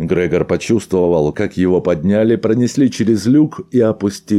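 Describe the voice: The passage is read aloud plainly, its pitch rising and falling in an ordinary way.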